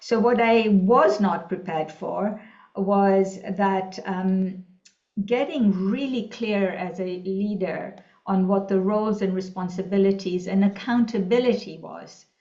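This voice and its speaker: Speaking at a medium pitch and a fairly slow pace, a woman is heard with audible room echo. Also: fairly even intonation. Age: 60s. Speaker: executive coach. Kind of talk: interview. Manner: hesitant, many fillers.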